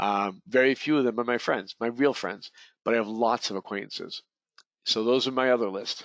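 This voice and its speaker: A man with an American accent has an ordinary speaking voice at medium pitch, talking at a fairly quick pace with fairly even intonation. The sound is dry and close with no echo, over a quiet background. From Boston area. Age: 50s. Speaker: real estate coach. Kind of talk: webinar lecture. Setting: online webinar.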